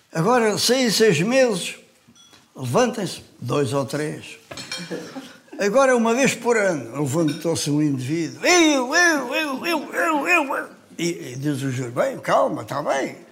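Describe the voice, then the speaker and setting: A man speaks at a very slow pace in a high pitch, with very wide pitch swings. Noticeable background noise and audible room echo fill the recording. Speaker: weightlifter. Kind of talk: casual chat.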